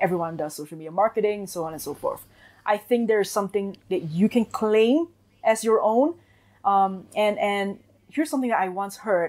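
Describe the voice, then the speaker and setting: The speaker talks at a fairly quick pace. The voice is delivered with a Singaporean accent. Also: woman. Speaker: marketing agency owner. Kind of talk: interview.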